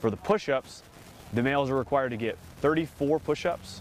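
A man speaks at a fairly quick pace with ordinary pitch variation, the sound dry with no echo and music playing in the background. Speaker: Marine officer, company commander. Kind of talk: explanatory interview. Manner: formal, measured, informative. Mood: calm, matter-of-fact. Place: open country. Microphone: lapel.

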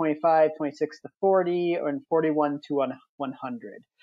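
In an American accent, a man with a fairly high pitch and ordinary pitch variation has an unremarkable speaking voice. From Wisconsin. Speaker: software demo presenter. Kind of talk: tutorial.

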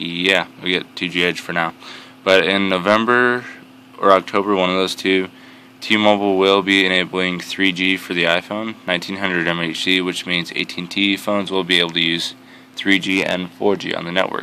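Light background noise and a dry sound with no echo surround speech at a moderate pace. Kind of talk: tutorial. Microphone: phone near.

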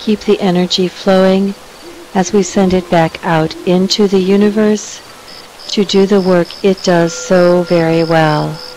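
A woman's calm, soothing tone with monotone, flat intonation and very even loudness, in a dry sound with no echo and light background noise. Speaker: meditation circle leader. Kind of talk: guided meditation. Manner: slow, calm and soothing; gentle, measured pauses between phrases. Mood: calm, soothing, slow.

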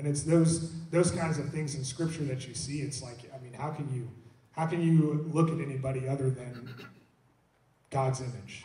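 A man speaks at a moderate pace in a fairly high voice, his intonation fairly even but his loudness swinging widely, with audible echo from the room. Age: young. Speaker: worship pastor. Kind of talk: church panel discussion. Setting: church. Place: church.

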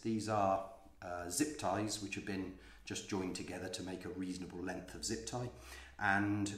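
A man speaks with a fairly low pitch and ordinary pitch variation. The room echo is audible. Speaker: vlogger. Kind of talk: tutorial. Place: home room. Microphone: phone near.

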